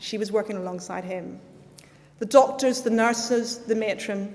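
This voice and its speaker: Over noticeable background noise, a woman with a Northern Irish accent speaks at a moderate pace, her fairly high pitch showing ordinary pitch variation. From Northern Ireland. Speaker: guest speaker at school ceremony. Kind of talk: speech.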